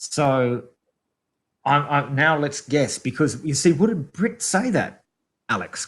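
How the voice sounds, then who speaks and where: Very wide pitch swings mark this somewhat breathy voice, which moves at a very slow pace. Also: man, very clean recording, silent background. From Australia. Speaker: podcast co-host. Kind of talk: casual chat.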